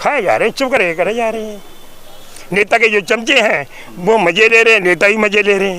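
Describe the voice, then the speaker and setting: There is noticeable background noise as a man with a high voice speaks. His pace is moderate and his pitch variation ordinary. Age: 70s. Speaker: social activist. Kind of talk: interview. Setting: outdoors. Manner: animated.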